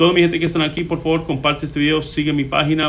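Audible room echo follows a man speaking at a very fast pace. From Puerto Rico. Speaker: immigration lawyer. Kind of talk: live-stream Q&A. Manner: hesitant, many filler sounds.

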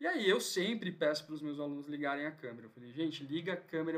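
A man's unremarkable speaking voice, fairly high in pitch, with fairly even intonation. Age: 30s. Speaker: physiotherapist and lecturer. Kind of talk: casual interview.

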